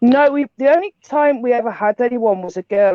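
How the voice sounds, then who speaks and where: Moderate pace, ordinary pitch variation, and a Liverpool accent. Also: woman. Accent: Scouse. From Liverpool, England. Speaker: paranormal investigation team leader. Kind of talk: casual chat.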